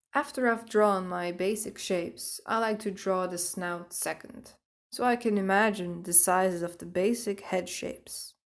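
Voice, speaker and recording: At a moderate pace and medium pitch, a woman with a Dutch accent speaks with ordinary pitch variation in a very clean recording with a silent background. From Netherlands. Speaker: artist. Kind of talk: drawing tutorial narration. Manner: upbeat.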